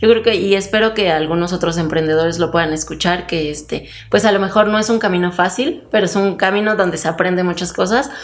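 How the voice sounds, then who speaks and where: A woman speaks at a very fast pace with hardly any pauses, her pitch medium. Noticeable background noise is present. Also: ordinary pitch variation. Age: 20s. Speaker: entrepreneur. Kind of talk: interview. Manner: hesitant, many fillers.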